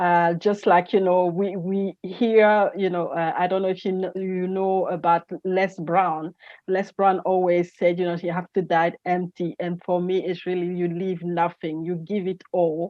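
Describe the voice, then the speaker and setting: With a French accent, a woman speaks in a medium pitch at a fairly slow pace, with monotone, flat intonation and hardly any pauses. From Gabon. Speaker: energy entrepreneur and speaker. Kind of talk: interview. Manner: halting, many fillers.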